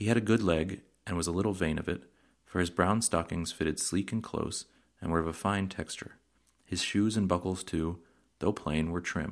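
A man speaks in a very deep, low pitch. His pace is moderate and his intonation fairly even. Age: 30s. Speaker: podcast host reading books aloud. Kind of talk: reading aloud.

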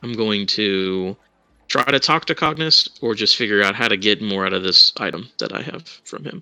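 A man with a fairly low pitch and a bright, sharp tone speaks with ordinary pitch variation in a dry, close sound with no echo over a quiet background. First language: not English. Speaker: tabletop game player. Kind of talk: tabletop roleplay chat.

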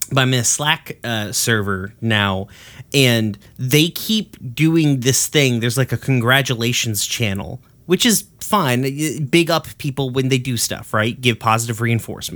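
On a very clean recording with a silent background, a man speaks at a fairly slow pace in a plain, everyday voice with a medium pitch and ordinary pitch variation. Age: 30s. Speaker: podcast host. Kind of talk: casual chat.

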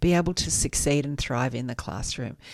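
With an Australian accent and vocal fry, the speaker talks at a moderate pace. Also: woman. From western Sydney, Australia. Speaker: charity chief executive. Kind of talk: radio interview. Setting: radio studio.

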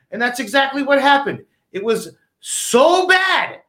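A man projects a raised, bright, sharp voice at an extremely high pitch. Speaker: sports talk show co-host. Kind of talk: casual banter, sports talk show.

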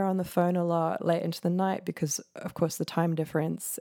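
The voice has a dark, mellow tone and a New Zealand accent, moving at a fairly quick pace. The recording is very clean, with a silent background. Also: woman. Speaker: composer. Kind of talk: casual interview.

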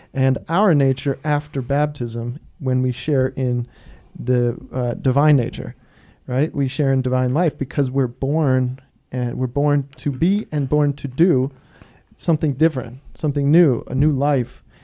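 Fairly slow and with fairly even intonation, a man speaks. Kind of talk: casual theological discussion. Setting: studio.

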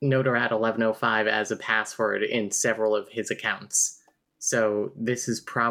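Over a quiet background, this is plain reading aloud. The intonation stays fairly even.

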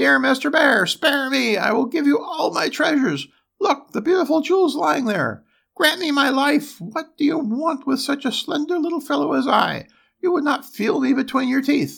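This is a put-on character voice, shrill and high in pitch. It moves at a moderate pace.

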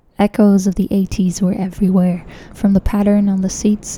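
A woman speaks at a fairly quick pace with a medium pitch and monotone, flat intonation. Noticeable background noise runs underneath. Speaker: podcast host. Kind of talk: scripted travel narration.

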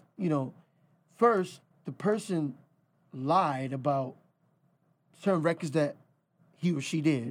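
A man with a fairly high pitch and ordinary pitch variation speaks fairly slowly with long, frequent pauses on a very clean recording with a silent background. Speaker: music manager.

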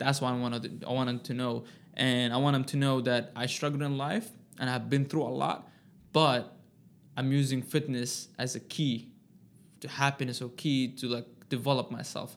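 With an Arabic accent, a man talks at a moderate pace and medium pitch in a monotone, flat intonation. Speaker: personal trainer, formerly homeless. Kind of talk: interview, personal life story.

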